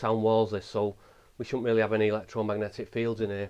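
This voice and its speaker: Delivered in an English accent, the speech is monotone, with flat intonation. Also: man. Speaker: paranormal investigator. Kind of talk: ghost hunt commentary. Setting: inside a small old house. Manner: halting.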